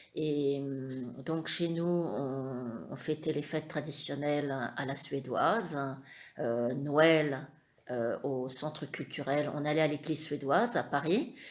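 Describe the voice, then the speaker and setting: This woman's very deep, low voice moves at a very slow pace with ordinary pitch variation. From France, Perche (Eure-et-Loir). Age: 50s. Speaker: interviewee, mother of the channel owner. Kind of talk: family interview. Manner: hesitant, many fillers.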